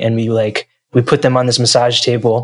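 A man talks with a New Jersey accent. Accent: American, New Jersey. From US, New Jersey. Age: 20s. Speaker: singer-songwriter. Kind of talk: interview.

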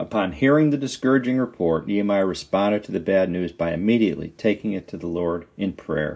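This man has an unremarkable speaking voice with a fairly low pitch. He talks at a fairly quick pace with lively intonation. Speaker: devotional writer and reader. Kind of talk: devotional reading with scripture and closing prayer. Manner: earnest, fervent, pleading prayer tone; measured, warm, reverent.

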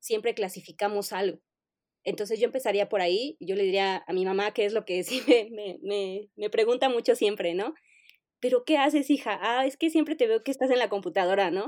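A woman with a fairly high pitch and ordinary pitch variation, at a moderate pace, in a dry, close sound with no echo and a very clean, silent background. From Mexico City. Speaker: information architect. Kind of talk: interview. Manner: hesitant, many fillers.

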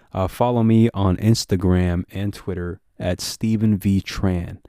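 A man speaks at a fairly slow pace and fairly low pitch, with a dark, mellow tone and fairly even intonation. The sound is dry and close with no echo, in a very clean recording with a silent background. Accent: American. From Texas, Dallas. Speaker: podcast host. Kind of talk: casual podcast intro monologue.

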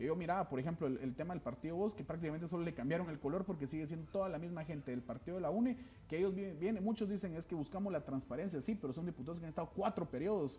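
A man speaks at a very fast pace with hardly any pauses. His pitch is high, with ordinary variation. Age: young. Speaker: political party secretary general. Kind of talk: TV political interview.

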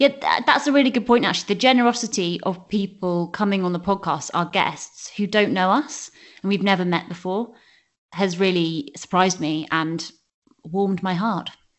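Lively intonation and a moderate speed mark an unremarkable speaking voice. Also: woman, medium pitch for a woman. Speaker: podcast host. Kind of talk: casual chat.

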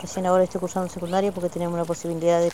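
A flat, monotone delivery plays against noticeable background noise. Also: woman. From Argentina, Neuquén, Mapuche community of Ruca Choroi. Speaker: vegetable grower and Mapuche language teacher. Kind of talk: interview testimony. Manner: halting.

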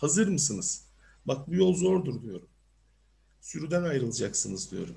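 Long, frequent pauses break up a man's moderate-paced speech, his fairly high voice carrying a dark, mellow tone, vocal fry, big swings in loudness and very wide pitch swings. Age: 40s. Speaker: career coach. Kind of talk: online seminar talk. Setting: video call.

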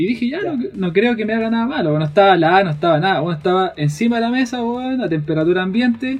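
A man with a Chilean accent talks at a very fast pace. His voice is high, with lively intonation. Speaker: podcast co-host. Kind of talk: casual chat.

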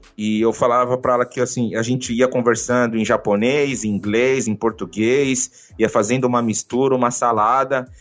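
A man speaks at a moderate pace and a medium pitch. His intonation is monotone and flat, with hardly any pauses. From Brazil, Bahia. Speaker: motivational speaker and coach. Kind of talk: interview.

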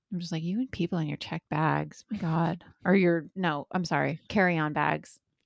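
Recorded very cleanly with a silent background and a dry, close sound with no echo, a woman with an American accent uses a normal speaking voice, fairly low in pitch, at a moderate pace. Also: fairly even intonation. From Indiana. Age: 30s. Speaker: podcast co-host. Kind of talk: casual chat. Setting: in person.

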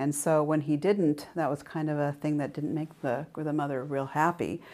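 In a very clean recording with a silent background, a woman with an American accent speaks at a moderate pace in a very deep, low pitch. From US Pacific Northwest, Oregon. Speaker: entrepreneur turned business professor. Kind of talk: interview.

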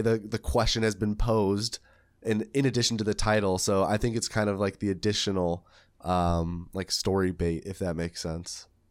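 A man speaks at a moderate pace in an ordinary speaking voice, his pitch fairly low and his intonation fairly even, on a very clean recording with a silent background. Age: 20s. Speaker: podcast host and speedrunner. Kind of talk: casual chat.

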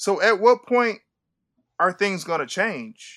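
This man's voice is raised and projected. It carries a bright, sharp tone. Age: 40s. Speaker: writer and director. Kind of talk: casual interview.

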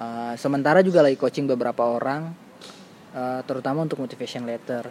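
A man talks at a very fast clip with ordinary pitch variation. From Maluku, eastern Indonesia. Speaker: scholarship mentor. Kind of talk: casual chat.

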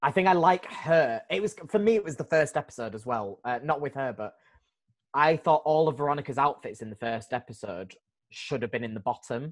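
A fairly high-pitched man in a Yorkshire accent, lively in intonation, at a fairly quick pace. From Leeds, England. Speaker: podcast co-host and drag performer. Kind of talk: casual chat.

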